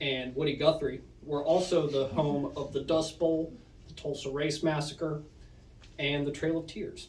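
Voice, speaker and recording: A man with an Oklahoma accent speaks at a fairly high pitch. His intonation stays fairly even, and audible room echo surrounds the voice. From Oklahoma, Muskogee. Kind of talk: prepared speech to an audience. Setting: punk house basement with audience. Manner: read from phone.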